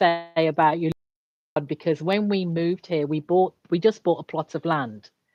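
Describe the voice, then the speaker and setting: Someone with an English accent speaks at a moderate pace with ordinary pitch variation. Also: woman, fairly low pitch for a woman. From England. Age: 60s. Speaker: executive coach. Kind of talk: casual chat.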